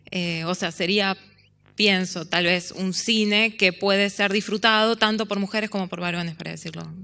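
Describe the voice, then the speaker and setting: Her tone bright and sharp, a woman of medium pitch speaks at a fairly slow pace. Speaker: panel moderator, film scholar. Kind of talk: academic panel moderation. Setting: symposium panel with audience. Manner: hesitant, many fillers.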